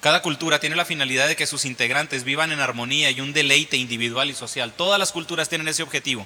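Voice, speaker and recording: A man talks at a very fast pace and a fairly high pitch, animated in tone with ordinary pitch variation. Noticeable background noise is audible. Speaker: preacher. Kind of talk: sermon, Bible reading then teaching; sermon, illustrative story about a boy learning karate. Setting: church. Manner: animated, repetitive, teaching with everyday illustrations.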